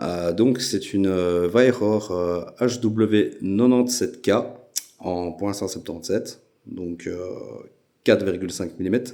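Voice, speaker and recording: A man's dark, mellow voice, fairly low in pitch with ordinary variation, at a very slow pace broken by long, frequent pauses. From Belgium. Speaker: airgun YouTuber. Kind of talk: casual channel introduction. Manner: hesitant, many filler sounds.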